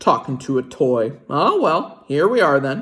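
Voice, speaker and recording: This is a put-on character voice with a low-to-middle pitch. It moves at a moderate pace. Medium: read story. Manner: folksy, gentle.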